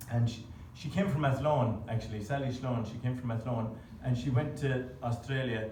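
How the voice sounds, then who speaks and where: Fairly even in intonation, a man speaks with audible room echo and noticeable background noise. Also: medium pitch for a man, moderate pace. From Birmingham, England, then County Clare, Ireland. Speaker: traditional musician. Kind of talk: onstage tune introduction. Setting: stage with audience. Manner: hesitant, many fillers.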